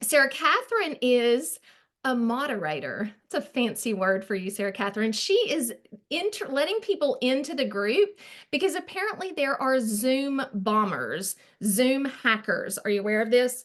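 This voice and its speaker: Speaking in a strong Arkansas accent, a woman uses a high pitch with very wide pitch swings at a moderate pace. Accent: thick Arkansas Southern. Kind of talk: online group presentation. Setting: video call. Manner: casual, chatty with fillers.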